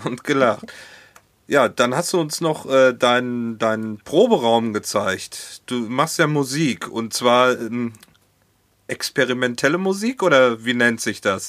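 Very slow speech from a man, medium in pitch, with ordinary pitch variation. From Hohenlimburg, North Rhine-Westphalia, Germany. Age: 40s. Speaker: podcast host. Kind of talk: casual chat. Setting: Skype call.

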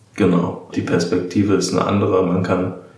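Against noticeable background noise and audible room echo, a man speaks with a very deep, low pitch and ordinary pitch variation. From Germany, Darmstadt (Hesse). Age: 20s. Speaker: apprentice, former archaeology student. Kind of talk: interview.

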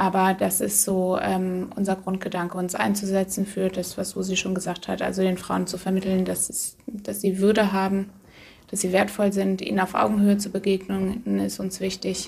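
Here a woman speaks at a medium pitch and a moderate pace. Her intonation is monotone and flat. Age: 30s. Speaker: outreach worker with women in prostitution. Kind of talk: interview.

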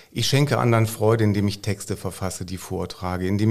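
With a normal speaking voice, a man talks at a fairly low pitch and with fairly even intonation. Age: 50s. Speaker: school principal. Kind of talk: casual chat.

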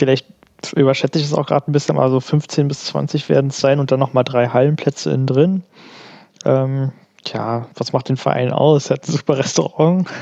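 At a fairly quick pace, a man talks with fairly even intonation and a medium pitch. The sound is dry and close, with no echo. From Berlin. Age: 20s. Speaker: wheelchair tennis player and student. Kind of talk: casual interview. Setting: remote call.

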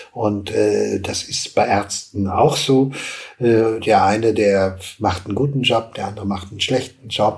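A man's fairly low voice, fairly slow, with fairly even intonation and noticeable background noise. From western Germany, Hagen. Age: old. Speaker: TV producer and entrepreneur. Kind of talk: interview.

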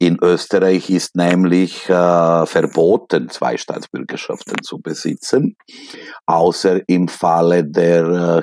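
A man talks at a very slow pace in a very deep, low pitch. His pitch varies in an ordinary way, and the sound is dry and close with no echo. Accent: strong non-native. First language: Serbian (speaking German). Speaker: literature professor. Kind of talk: interview.

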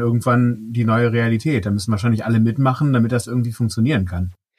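At a fairly quick pace, a man with a normal speaking voice talks at a medium pitch on a very clean recording with a silent background. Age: 40s. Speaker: podcast host. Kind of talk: casual interview.

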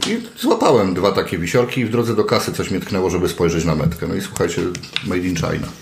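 A man with a very deep, low pitch talks at a very fast pace. Audible room echo and noticeable background noise fill the recording. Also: ordinary pitch variation. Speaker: podcast host. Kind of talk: casual chat.

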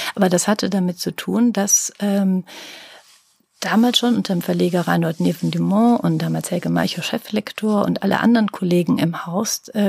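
A woman talks at a fairly quick pace, the sound dry and close with no echo. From Rhineland, Germany (Langenfeld). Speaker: publisher. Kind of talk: interview.

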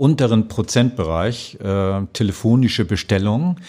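Fairly slow and fairly low, a man's dark, mellow voice comes through in a northern German accent. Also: very clean recording, silent background. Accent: northern German, noticeable. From northern Germany, North Sea coast near Danish border. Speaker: customer service manager. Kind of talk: podcast interview. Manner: hesitant, many fillers and repetitions.

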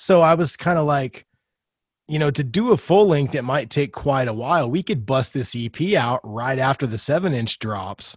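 A man's normal speaking voice with lively intonation at a moderate pace, dry and close with no echo, over a quiet background. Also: fairly high pitch for a man. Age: 40s. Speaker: punk rock musician and podcaster. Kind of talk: casual chat.

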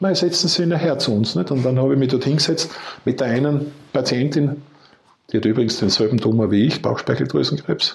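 A somewhat breathy man speaks with very even loudness and ordinary pitch variation. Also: medium pitch for a man. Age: 60s. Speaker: retired entrepreneur and cancer patient. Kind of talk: interview testimony.

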